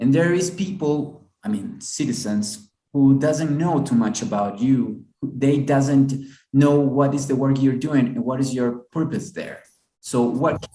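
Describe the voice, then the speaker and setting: The pace is fairly slow, with a dark, mellow tone and a Spanish accent. Intonation is lively, and room echo is audible. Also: man. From Ecuador. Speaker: TV show host. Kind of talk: interview. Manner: halting.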